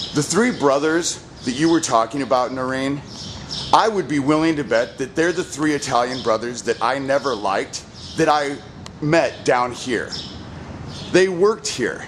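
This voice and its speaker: A man at a fairly high pitch and moderate pace, ordinary pitch variation, long and frequent pauses, noticeable background noise. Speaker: citizen investigator. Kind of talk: walking tour narration. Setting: outdoors, walking downtown streets.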